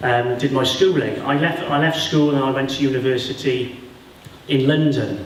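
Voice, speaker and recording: In a South Welsh accent, a man talks at a moderate pace with fairly even intonation and audible room echo. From Wales, Vale of Glamorgan. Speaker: sports lawyer. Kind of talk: school talk to pupils. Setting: school classroom audience.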